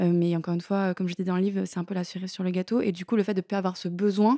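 A woman talks at a very fast pace in a medium pitch with a dark, mellow tone and monotone, flat intonation. The recording is very clean, with a silent background and a dry, close sound with no echo. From eastern France, Lorraine. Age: 30s. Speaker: author and social media content creator. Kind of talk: casual interview.

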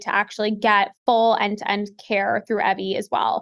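A woman talks at a moderate pace. Her voice sits fairly high. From US Pacific Northwest, Seattle. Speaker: health tech company co-founder. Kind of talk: podcast interview. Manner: animated.

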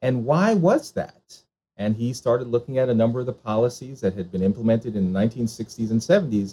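A somewhat breathy man at a moderate pace. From Jamaican parents, US. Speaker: charter school founder and author. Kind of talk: interview conversation.

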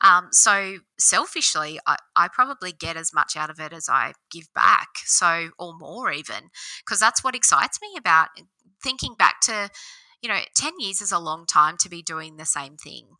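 A woman with an Australian accent speaks at a moderate pace with a fairly low pitch, a bright, sharp tone, lively intonation and big swings in loudness. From Australia, Central West New South Wales. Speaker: business owner. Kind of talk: interview.

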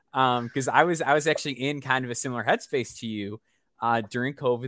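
With an American accent, a man talks in an unremarkable speaking voice at a fairly quick pace with fairly even intonation. The sound is dry and close with no echo, on a very clean recording with a silent background. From US Midwest, Chicago area. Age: 30s. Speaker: basketball podcast host. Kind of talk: casual interview.

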